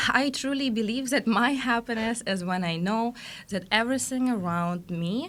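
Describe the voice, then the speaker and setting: Against noticeable background noise, a woman with a fairly high pitch speaks at a fairly slow pace with very wide pitch swings. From Russia, Siberia and Saint Petersburg. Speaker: growth mentor. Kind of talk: interview.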